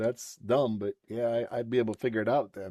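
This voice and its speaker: Here is a man with a plain, everyday voice at a medium pitch. He talks at a fairly quick pace, the sound dry and close with no echo. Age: 60s. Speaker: trainee. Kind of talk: casual chat.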